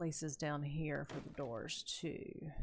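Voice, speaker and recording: A woman's very deep, low voice with vocal fry, captured in a very clean recording over a silent background. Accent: American. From US South, North Carolina. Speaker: gaming streamer. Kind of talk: casual live-stream commentary. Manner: animated.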